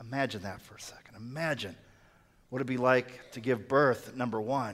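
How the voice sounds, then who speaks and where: The speaker is a man talking at a moderate pace. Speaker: pastor. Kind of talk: sermon. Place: church.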